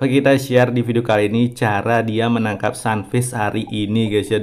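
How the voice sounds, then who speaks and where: A man at medium pitch and a fairly quick pace, with noticeable background noise. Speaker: gaming YouTuber. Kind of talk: gameplay commentary. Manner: casual, chatty.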